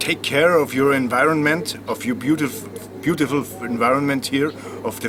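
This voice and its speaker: Through noticeable background noise, a man speaks at a fairly slow pace. His voice is fairly high, with ordinary pitch variation. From Austria. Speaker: musician. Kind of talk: interview.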